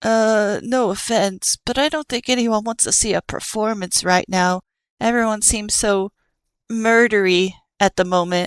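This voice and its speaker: A female-sounding put-on character voice, whiny and fairly high-pitched, at a moderate pace. The recording is very clean, with a silent background. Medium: read story. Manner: whiny, hesitant.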